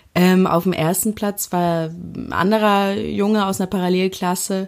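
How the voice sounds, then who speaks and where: Recorded very cleanly against a silent background, a woman speaks at a medium pitch. Her delivery is very slow with fairly even intonation. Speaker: interviewee telling couple's story. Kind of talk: personal storytelling.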